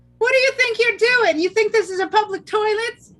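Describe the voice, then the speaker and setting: A squeaky put-on character voice shouts at an extremely high pitch. The delivery moves at a fairly quick pace. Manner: yelling, indignant.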